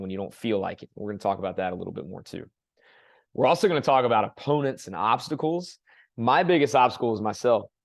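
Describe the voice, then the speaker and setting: Against a quiet background, a man talks at a very fast pace and a medium pitch. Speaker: fitness coach. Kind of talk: online workshop presentation.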